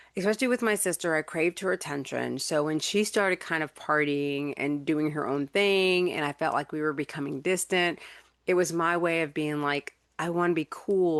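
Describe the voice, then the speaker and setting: With an American accent, a woman speaks at a fairly low pitch and a moderate pace, with ordinary pitch variation. The sound is dry and close with no echo, set against a quiet background. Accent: slight country. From North Carolina. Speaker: podcast host, life coach. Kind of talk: personal testimony. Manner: casual, halting with repetitions.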